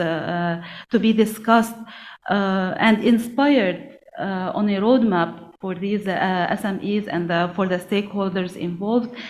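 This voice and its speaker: A woman speaks at a fairly slow pace, at medium pitch with ordinary variation. Room echo is audible. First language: not English. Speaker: national SME policy coordinator. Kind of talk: conference panel remarks. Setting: conference event. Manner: halting, many fillers.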